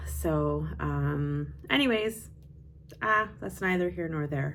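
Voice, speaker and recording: A woman speaks at a very slow pace. There is audible room echo. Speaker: knitting vlogger and yarn dyer. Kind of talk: casual chat. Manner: loud.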